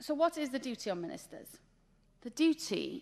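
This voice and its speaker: This woman has a Welsh accent. She talks at a fairly quick pace. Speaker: government official. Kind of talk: conference presentation. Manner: fast.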